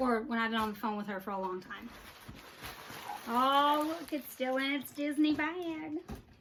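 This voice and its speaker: Animated in tone, a high-pitched woman speaks at a moderate pace with lively intonation and long, frequent pauses. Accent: Texan. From Texas. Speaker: Disney merchandise vlogger. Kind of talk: casual unboxing vlog.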